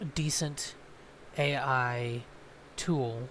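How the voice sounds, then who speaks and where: A man's somewhat breathy voice holds a fairly even intonation. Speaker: gaming YouTuber. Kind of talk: casual chat. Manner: hesitant, many ums.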